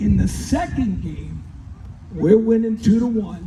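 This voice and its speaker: Against noticeable background noise and audible room echo, a man speaks with an American accent. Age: 60s. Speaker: former high school baseball player. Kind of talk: banquet speech.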